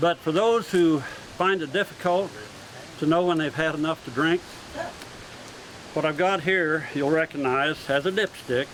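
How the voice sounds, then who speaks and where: A man with an American accent talks at a moderate pace with ordinary pitch variation and long, frequent pauses, with noticeable background noise. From California. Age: 70s. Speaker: sword swallower and stage performer. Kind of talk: live performance patter. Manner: folksy joking showman.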